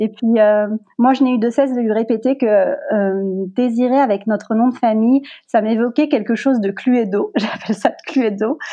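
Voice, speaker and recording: A woman with a fairly high pitch and a dark, mellow tone speaks at a moderate pace with ordinary pitch variation. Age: 30s. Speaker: communications officer and mother. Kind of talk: casual interview.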